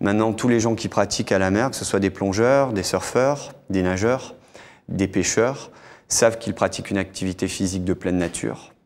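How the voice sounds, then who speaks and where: A man speaks with an unremarkable speaking voice, fairly low in pitch, at a moderate pace with ordinary pitch variation. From Monaco. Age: 40s. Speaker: freediver; guest. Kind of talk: TV interview. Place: studio. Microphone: lapel.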